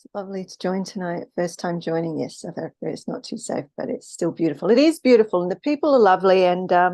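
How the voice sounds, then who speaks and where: A woman with a dark, mellow tone talks very fast with lively intonation and hardly any pauses, in a dry, close sound with no echo. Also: medium pitch for a woman. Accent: Australian. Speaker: spiritual live streamer. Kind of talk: casual live stream talk. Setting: live stream. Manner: hesitant, many fillers.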